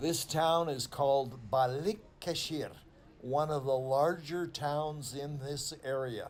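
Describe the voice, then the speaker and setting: Using fairly even intonation, a man speaks at a very slow pace in a fairly high pitch. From Canada. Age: 70s. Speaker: travel vlogger, cycle tourist. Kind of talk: travel vlog narration. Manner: casual, halting with fillers.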